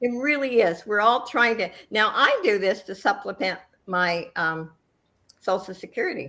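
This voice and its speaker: A woman's bright, sharp voice at medium pitch, with ordinary pitch variation and a moderate pace. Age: 80s+. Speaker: YouTuber on a panel. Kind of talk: casual chat.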